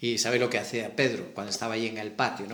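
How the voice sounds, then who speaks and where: The speaker has a Galician accent and a monotone, flat intonation. Room echo is audible. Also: man. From Galicia, Spain. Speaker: preacher. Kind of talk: sermon.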